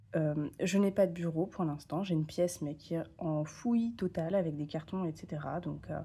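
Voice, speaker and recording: This woman's fairly low voice has a dark, mellow tone, a somewhat breathy quality, and hardly any pauses. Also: ordinary pitch variation, moderate pace. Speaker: tarot content creator. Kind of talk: casual vlog talk. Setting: home, camera on tripod. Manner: hesitant, many fillers.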